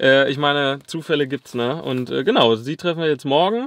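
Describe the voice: Fairly bright in tone, a man's voice sits at a medium pitch with ordinary pitch variation and a moderate pace.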